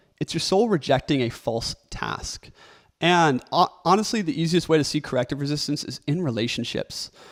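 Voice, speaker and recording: Against a silent background on a very clean recording, a man's fairly high, shaky voice moves at a moderate pace with lively intonation. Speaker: content creator and author. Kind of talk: motivational talk to camera. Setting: recording video alone.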